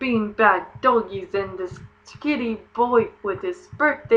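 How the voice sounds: The voice heard here reads in a natural way.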